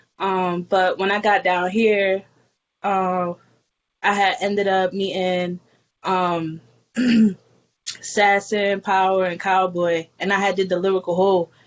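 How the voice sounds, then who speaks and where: A woman in a New York accent talks at medium pitch with monotone, flat intonation and long, frequent pauses. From New York, the Bronx. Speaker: hip hop artist. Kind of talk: casual interview.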